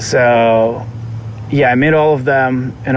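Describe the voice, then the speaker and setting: A man talks at a medium pitch with fairly even intonation. Noticeable background noise runs under his voice. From Moscow, Russia. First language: Russian. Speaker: vintage clothing seller. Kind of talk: casual interview chat.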